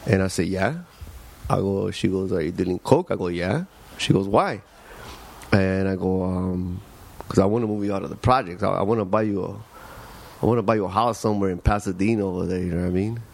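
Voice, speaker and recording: With an American accent, a man talks at a very fast pace with a fairly low pitch, fairly even intonation and long, frequent pauses, over noticeable background noise. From Los Angeles. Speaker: street artist. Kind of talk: casual chat.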